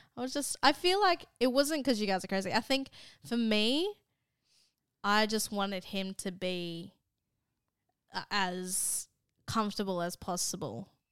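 In a very clean recording with a silent background, a woman with an Australian accent speaks at a medium pitch and a fairly slow pace, her intonation lively and her tone animated, with long, frequent pauses. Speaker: podcast co-host. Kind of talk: casual chat.

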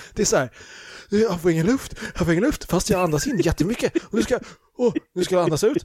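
A man talks at a very fast pace with high pitch. His intonation is lively. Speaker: podcast co-host. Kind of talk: casual chat. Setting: at home in son's bedroom.

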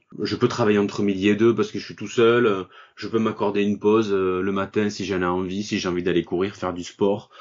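A man speaks at a fairly quick pace in a fairly low pitch. His intonation is monotone and flat. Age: 40s. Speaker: online shop owner, burnout survivor. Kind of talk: interview. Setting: remote recording from home. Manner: hesitant, with fillers.

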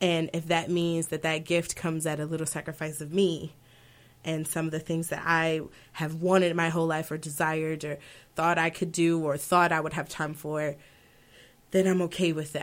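With an American accent, a woman speaks at a moderate pace in a very deep, low pitch and a monotone, flat intonation, on a very clean recording with a silent background. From Baltimore, US Mid-Atlantic. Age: 20s. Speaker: opera singer. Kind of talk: interview conversation.

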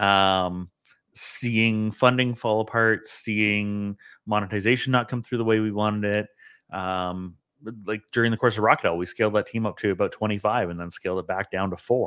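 A Canadian accent at a moderate pace with fairly even intonation, in a very clean recording with a silent background. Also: man, fairly low pitch for a man. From Ontario, Canada (Toronto area). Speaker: tech entrepreneur and CEO. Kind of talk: podcast interview.

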